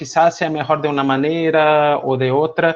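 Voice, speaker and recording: A man's fairly high-pitched voice over a quiet background. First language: not Spanish (speaking Spanish). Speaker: music education lecturer. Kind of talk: online seminar lecture. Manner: hesitant with fillers.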